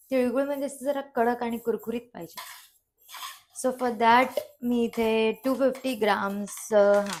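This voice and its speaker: A woman talks at a high pitch with fairly even intonation. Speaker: cooking vlogger. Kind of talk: cooking tutorial vlog. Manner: casual, Marathi-English code-mixing.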